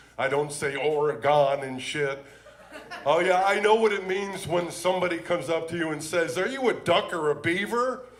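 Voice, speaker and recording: Against noticeable background noise and audible room echo, a man talks at a high pitch with ordinary pitch variation. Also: moderate pace. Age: 60s. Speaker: comedian. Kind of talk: stand-up. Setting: stage with audience. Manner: animated.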